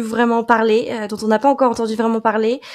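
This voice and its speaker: A woman speaks at a high pitch. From France. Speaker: podcast marketing specialist. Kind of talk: casual interview.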